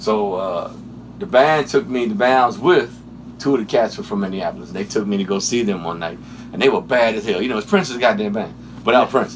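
Over noticeable background noise, a man with an American accent speaks at a fairly quick pace. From Washington D.C. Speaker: session guitarist. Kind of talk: interview. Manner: casual.

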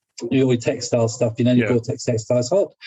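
In an English accent, a man speaks at a very fast pace with a somewhat breathy voice. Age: 60s. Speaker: motorcycle clothing company owner. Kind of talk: casual chat.

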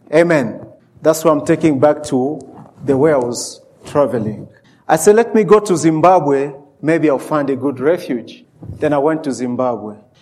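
A man's fairly high voice with ordinary pitch variation and a Central African French accent. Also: moderate pace. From DR Congo. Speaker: preacher. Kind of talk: sermon. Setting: church. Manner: animated.

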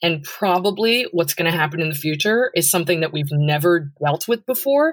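An unremarkable speaking voice from a woman, fairly low in pitch with ordinary variation, on a very clean recording with a silent background. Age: 30s. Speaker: cybersecurity executive. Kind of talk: interview conversation.

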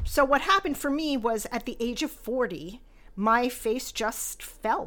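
Her tone is warm yet bright and sharp, and her pitch is high. The woman speaks at a fairly slow pace with lively intonation. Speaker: skincare company founder and podcast host. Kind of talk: scripted-style podcast monologue, intro episode. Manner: warm, candid, self-deprecating, chuckles.

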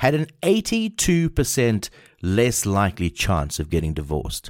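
A man with a medium-pitched voice talks at a fairly slow pace, his pitch rising and falling very widely, in a very clean recording with a silent background. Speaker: podcast host. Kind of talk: solo podcast monologue.

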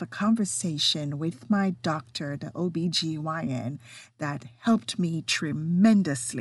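Somewhat breathy woman with a non-native accent, fairly slow pace, and very wide pitch swings. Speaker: podcast host. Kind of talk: solo podcast monologue, partly reading health information.

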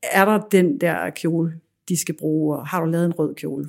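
A woman speaks in a normal speaking voice, pitched fairly low. Her pace is fairly slow and her intonation fairly even. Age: 40s. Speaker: fashion designer and business owner. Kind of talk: interview. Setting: her showroom.

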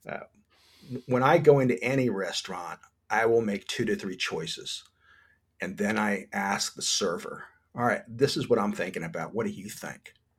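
An American accent marks a man's medium-pitched voice, which has very wide pitch swings, big swings in loudness and long, frequent pauses at a moderate pace. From New Jersey. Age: old. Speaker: chef and food blogger. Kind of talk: casual chat.

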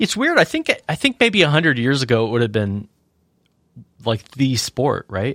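A man with a medium-pitched voice speaks at a moderate pace, and his speech has an unremarkable speaking voice quality with lively intonation. The recording is very clean with a silent background and a dry, close sound with no echo. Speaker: podcast co-host. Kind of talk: casual banter podcast. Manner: joking, playful.

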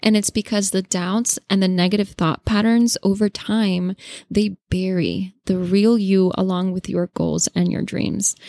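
A woman with a Spanish accent speaks at a medium pitch in a dark, mellow tone and a flat monotone. Her fairly slow delivery has hardly any pauses and sounds dry and close with no echo. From Latin America. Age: 20s. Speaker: podcast host. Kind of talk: solo podcast monologue.

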